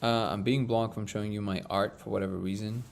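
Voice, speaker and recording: Very fast and fairly even in intonation, a man talks at a fairly low pitch with a non-native accent. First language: not English. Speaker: live stream host. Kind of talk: casual live stream chat. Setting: live stream.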